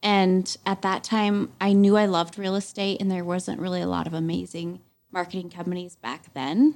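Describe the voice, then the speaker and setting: A woman's medium-pitched, a normal speaking voice, with ordinary pitch variation and a moderate pace. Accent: American. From Montana, US. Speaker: realtor. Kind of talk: casual chat.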